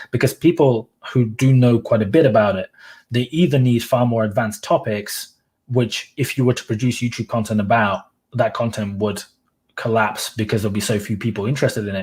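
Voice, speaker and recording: On a very clean recording with a silent background, a man with a medium pitch talks at a fairly quick pace in a somewhat breathy voice. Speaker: YouTuber and blogger. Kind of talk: casual chat. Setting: livestream. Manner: monotone.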